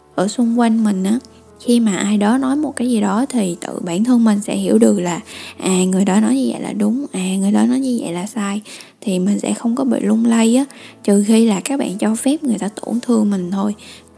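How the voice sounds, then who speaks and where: Medium pitch from a woman at a moderate pace, ordinary pitch variation, and noticeable background noise. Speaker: YouTuber hosting a talk radio segment. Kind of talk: casual monologue sharing life advice.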